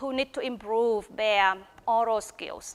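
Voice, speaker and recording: A woman talks in a Vietnamese accent at a fairly slow pace, her pitch high with ordinary variation. The sound is dry and close, with no echo. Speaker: teacher of English and PhD researcher. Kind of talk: research presentation.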